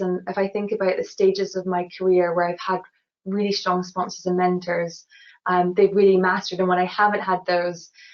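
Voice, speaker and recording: A woman talks at a moderate pace in a Scottish accent. Her intonation is monotone and flat. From Scotland, Glasgow. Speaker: engineer. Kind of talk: webinar interview.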